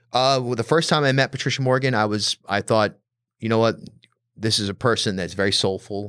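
In a normal speaking voice with an American accent, a man talks at a fairly quick pace in a medium pitch with ordinary pitch variation, captured as a dry, close sound with no echo on a very clean recording with a silent background. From Rhode Island, US. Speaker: podcast host. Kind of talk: casual chat.

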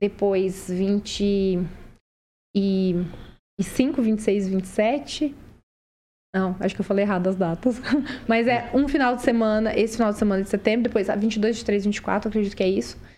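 Dark and mellow in tone, a woman's voice sits at medium pitch with ordinary pitch variation. She speaks fairly slowly at very even loudness, with long, frequent pauses. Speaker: career mentor. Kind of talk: podcast interview.

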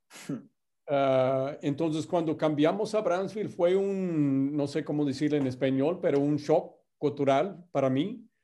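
Over a quiet background, a man with an American accent and a dark, mellow tone speaks at a very slow pace, with fairly high pitch and ordinary pitch variation. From US Midwest, Indiana. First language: English (speaking Spanish). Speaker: company executive. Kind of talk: interview. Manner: halting, many fillers and repeats.

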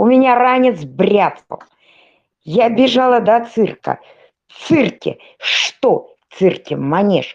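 A woman is speaking. Her pace is very slow. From Russian Far North (Polyarny). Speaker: podcast panelist. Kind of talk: casual chat.

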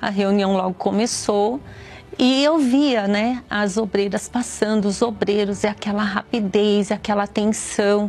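A woman speaks at a fairly slow pace with very even loudness, and there is noticeable background noise. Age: 50s. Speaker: teacher giving a religious testimony. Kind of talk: testimony.

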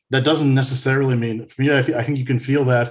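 A man with an American accent speaks very fast in a medium pitch. His voice is somewhat breathy and his intonation flat and monotone. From United States. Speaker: music podcaster, returning guest. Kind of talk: casual chat.

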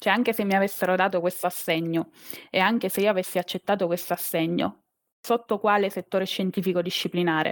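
A woman with a plain, everyday voice holds a medium pitch, fairly even intonation and very even loudness. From Abruzzo, Italy (Teramo). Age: 30s. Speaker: biologist turned corporate employee. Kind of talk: interview. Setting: live stream.

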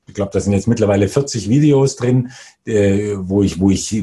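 There is a somewhat breathy quality to this man's fairly low voice, which has a dark, mellow tone. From Bavaria. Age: 40s. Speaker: investor. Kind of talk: interview.

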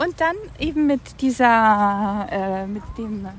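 A woman with lively intonation, amid noticeable background noise. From Germany, Franconia. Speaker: visual artist. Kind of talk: casual interview. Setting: outdoors in a park. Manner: halting.

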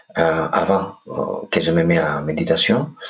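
Speaking very slowly, a man with a Greek accent shows ordinary pitch variation. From Greece, Corfu. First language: Greek (speaking French). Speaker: podcast host, meditation guest. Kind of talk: interview conversation. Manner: hesitant.

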